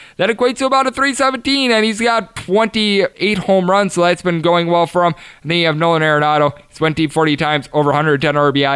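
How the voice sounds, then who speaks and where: This man talks at a fairly quick pace. His fairly high voice has lively intonation. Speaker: sports betting podcast host. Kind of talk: betting analysis monologue. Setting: studio. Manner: fast talker.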